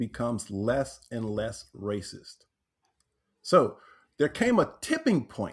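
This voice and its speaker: A man with an American accent at a fairly slow pace, with very wide pitch swings, in a very clean recording with a silent background. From Texas, Corpus Christi. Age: 60s. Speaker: author and transformational teacher. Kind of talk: podcast interview.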